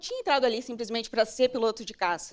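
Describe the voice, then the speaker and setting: Talking very fast, a woman is heard in a very clean recording with a silent background. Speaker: military fighter pilot. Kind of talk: motivational talk.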